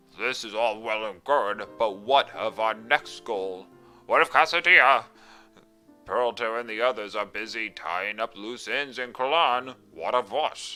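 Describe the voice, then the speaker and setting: A put-on character voice delivers lines at a moderate pace while faint music plays in the background. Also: man, medium pitch for a man. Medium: solo performance.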